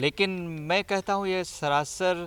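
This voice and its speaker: The sound is dry and close, with no echo. A man with a high pitch speaks in an Assamese accent. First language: Assamese (speaking Hindi). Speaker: professor and language institute official. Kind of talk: interview. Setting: in Raipur.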